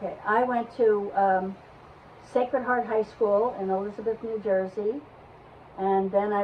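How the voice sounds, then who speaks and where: Someone with an American accent speaks at a fairly slow pace. Background noise is noticeable. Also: woman. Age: 80s+. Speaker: grandmother interviewee. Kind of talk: family interview.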